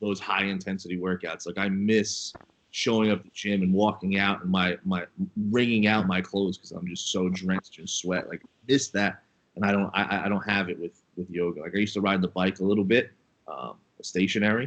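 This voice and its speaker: Talking at a fairly quick pace, a man with a normal speaking voice and fairly low pitch shows big swings in loudness. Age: 30s. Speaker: co-host, former fighter and wrestler. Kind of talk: casual chat.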